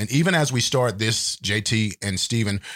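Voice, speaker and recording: Fairly low in pitch, a man speaks at a moderate pace with ordinary pitch variation. The recording is very clean and the background silent. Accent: Texan. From Texas. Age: 50s. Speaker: podcast co-host. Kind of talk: casual chat.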